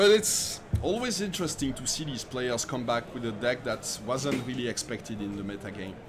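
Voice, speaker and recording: Noticeable background noise sits behind a man speaking at medium pitch and a moderate pace. His intonation is lively and he hardly pauses. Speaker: esports commentator. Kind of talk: live commentary. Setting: live stream.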